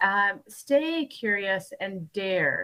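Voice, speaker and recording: A woman with an American accent speaks in a bright, sharp tone, her pitch swinging very widely. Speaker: keynote speaker, business leader. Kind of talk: keynote speech. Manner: enthusiastic.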